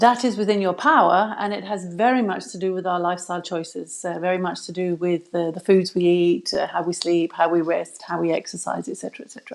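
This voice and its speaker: Barely pausing, a woman with an English accent talks at a very fast pace with ordinary pitch variation. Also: medium pitch for a woman. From England. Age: 60s. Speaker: health expert, former physiotherapist. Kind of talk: live video interview. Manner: hesitant, many fillers.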